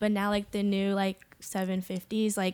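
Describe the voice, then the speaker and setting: On a very clean recording with a silent background, a woman with a normal speaking voice talks at a medium pitch and a moderate pace. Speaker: podcast guest. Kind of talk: casual chat.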